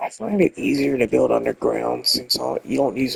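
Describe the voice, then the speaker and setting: Moderate pace from a man, the sound dry and close with no echo. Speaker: gaming video creator. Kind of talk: gameplay commentary. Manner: halting.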